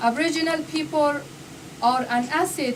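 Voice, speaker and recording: With a non-native accent, a woman speaks at a fairly slow pace amid noticeable background noise and audible room echo. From Afghanistan. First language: not English. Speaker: speaker at a public talk. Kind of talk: speech. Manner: halting; reading from paper.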